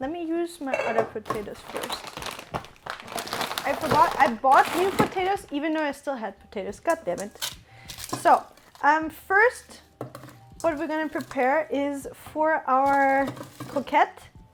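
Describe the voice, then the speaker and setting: With a high pitch and big swings in loudness, a woman talks at a moderate pace, leaving long, frequent pauses amid noticeable background noise. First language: German. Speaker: streamer. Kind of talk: cooking stream chat.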